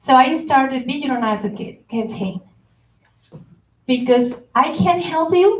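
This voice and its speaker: Her pitch sits high for a woman. She speaks with a Spanish accent. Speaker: consumer protection official. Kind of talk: workshop presentation. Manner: code-switching Spanish and English.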